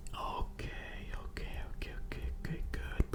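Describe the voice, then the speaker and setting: A man whispers over noticeable background noise. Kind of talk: ASMR storytime. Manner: rambling, casual.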